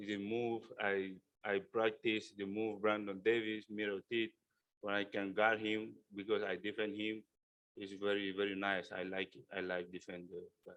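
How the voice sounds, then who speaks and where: A man speaks with a fairly low pitch and a non-native accent. His intonation is monotone and flat, while his loudness swings widely. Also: moderate pace. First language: not English. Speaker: basketball player. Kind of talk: press conference. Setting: news conference. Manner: halting.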